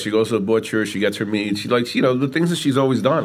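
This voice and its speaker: With a New York accent, a man talks at a very fast pace and medium pitch. Music plays in the background. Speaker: pizzeria owner. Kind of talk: casual interview. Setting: in his pizza shop.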